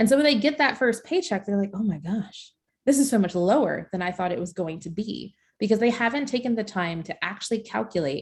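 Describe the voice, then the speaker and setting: Against a quiet background, a somewhat breathy woman talks at a fairly quick pace with lively intonation. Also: medium pitch for a woman. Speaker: career coach. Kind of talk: webinar presentation. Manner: fast.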